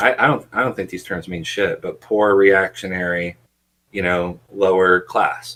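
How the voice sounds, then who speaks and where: Fairly slow and fairly even in intonation, the voice has a bright, sharp tone and an American accent. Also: man, very deep, low pitch for a man. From West Virginia, Appalachia. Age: 20s. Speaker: podcast guest, former radicalized youth. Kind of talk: casual interview conversation. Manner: halting, many fillers.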